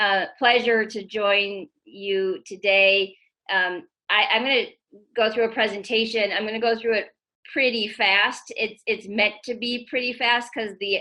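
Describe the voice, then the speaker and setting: The woman's voice sits fairly high, and her intonation stays fairly even. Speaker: tech executive. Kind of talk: presentation. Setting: video call. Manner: fast.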